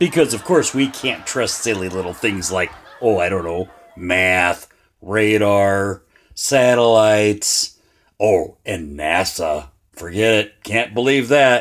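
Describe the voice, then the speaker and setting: A man puts on a character voice, raspy and fairly low. He speaks at a fairly slow pace. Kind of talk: comic commentary. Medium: cartoon. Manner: sarcastic, exasperated.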